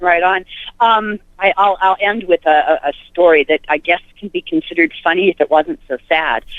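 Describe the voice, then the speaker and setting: A woman speaks in an ordinary speaking voice with an American accent. Her medium pitch shows ordinary pitch variation at a moderate pace. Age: 60s. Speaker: caller. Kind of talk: casual chat.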